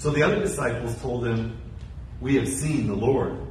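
A man speaks at a fairly slow pace. The room echo is audible, and there is light background noise. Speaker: pastor. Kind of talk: scripture reading. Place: church.

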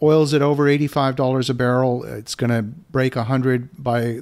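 A man with a normal speaking voice and a medium pitch speaks with ordinary pitch variation in a very clean recording with a silent background. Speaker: podcast host and real estate investor. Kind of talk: interview.

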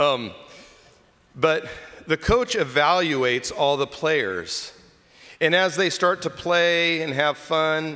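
With a fairly high pitch, a warm yet bright, sharp tone and lively intonation, a man speaks at a very slow pace over a quiet background. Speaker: deacon preaching. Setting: church during Mass. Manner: warm, conversational, teaching. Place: church. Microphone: podium.

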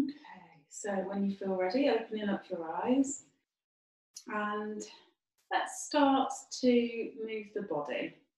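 Speaking very slowly with a fairly high pitch and lively intonation, a woman leaves long, frequent pauses. The room echo is audible, though the background is quiet. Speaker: yoga teacher. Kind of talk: guided chair yoga instruction. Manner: calm, gentle, slow and soothing cues; soft, unhurried, with frequent 'um' fillers. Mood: calm, soothing. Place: home room. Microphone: camera far.

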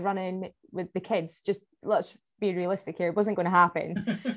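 Here a woman talks at a moderate pace. She has a Scottish accent. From Scotland. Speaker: obstacle course racer. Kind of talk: podcast interview answer.

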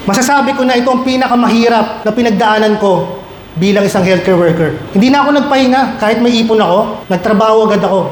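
Against noticeable background noise, a man with a high pitch talks at a fairly quick pace with ordinary pitch variation. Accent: Filipino. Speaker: guest speaker, medical technologist and vlogger. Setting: stage with audience. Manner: animated, warm, humorous, building to an earnest, rousing pep-talk delivery.

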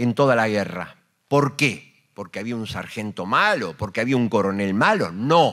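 A man speaks at a fairly slow pace. Behind him the background is quiet. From Argentina. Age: 60s. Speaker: war veteran and radio host. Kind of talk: panel talk. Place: hall. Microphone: handheld.

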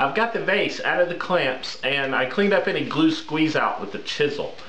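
A man at a moderate pace, fairly high-pitched, with lively intonation and clear background noise

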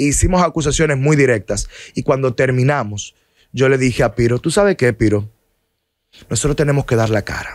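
Against a quiet background, a man at medium pitch talks at a fairly quick pace with ordinary pitch variation and long, frequent pauses, the sound dry with no echo. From Dominican Republic. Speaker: lawyer; podcast guest. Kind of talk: interview. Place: studio. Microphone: studio mic.

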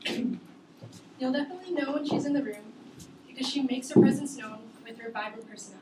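Someone speaks at a very fast pace with ordinary pitch variation over loud background noise. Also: woman. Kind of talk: prepared class speech. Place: classroom. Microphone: camera far.

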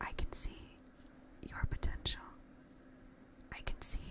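Whispering from a woman. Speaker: ASMR creator. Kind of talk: ASMR positive affirmations with personal attention, addressed to the listener. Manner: soft, reassuring, encouraging. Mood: warm, encouraging. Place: home room. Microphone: studio mic.

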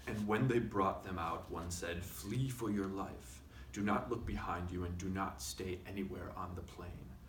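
Over noticeable background noise, a man speaks at a fairly slow pace in a very deep, low voice. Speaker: reader. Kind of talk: reading aloud from a book. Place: studio.

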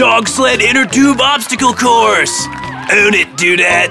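A man shouts slowly in a cartoonish character voice at an extremely high pitch, with vocal fry and ordinary pitch variation. Clear music and clear crowd noise fill the background.

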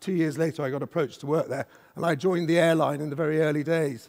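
Against a quiet background, a man speaks very fast in a fairly high voice. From Scotland. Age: 50s. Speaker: business executive; conference speaker. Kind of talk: conference keynote talk. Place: stage. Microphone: headset.

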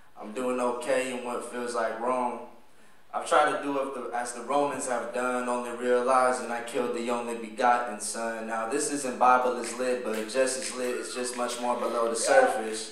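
A man's medium-pitched voice at a moderate pace, with audible room echo. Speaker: spoken word poet. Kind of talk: spoken word poetry performance. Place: stage.

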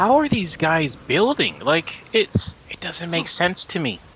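Noticeable noise runs through the background as a man talks at a medium pace. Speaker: gaming YouTuber. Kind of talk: let's play commentary. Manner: animated.

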